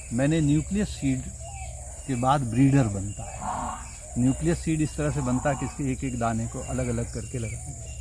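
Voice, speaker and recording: Over noticeable background noise, a man speaks at a moderate pace in a fairly low pitch with very wide pitch swings. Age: 70s. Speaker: farmer and agricultural scientist. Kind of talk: interview.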